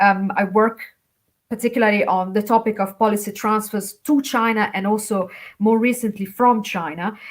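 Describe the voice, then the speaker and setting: Speaking at a moderate pace with an Italian accent, a woman uses a fairly high pitch and fairly even intonation. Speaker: academic China specialist, poster judge. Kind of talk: conference feedback remarks. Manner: halting, many fillers.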